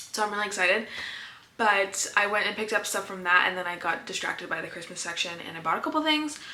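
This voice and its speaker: A woman at medium pitch and very fast pace, with audible room echo and noticeable background noise. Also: lively intonation. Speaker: small business owner and vlogger. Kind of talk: vlog monologue. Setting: home office.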